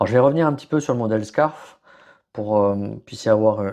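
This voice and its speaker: A man's fairly low-pitched voice with a dark, mellow tone. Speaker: podcast host, HR and leadership consultant. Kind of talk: solo podcast presentation. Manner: hesitant, many fillers and restarts.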